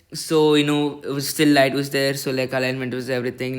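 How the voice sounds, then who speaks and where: A man sounds excited and loud, his bright, sharp tone set at a fairly high pitch. He speaks at a very fast pace. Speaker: amateur astronomer, first-time video reviewer. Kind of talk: product review video. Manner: halting, many fillers; loud, excited.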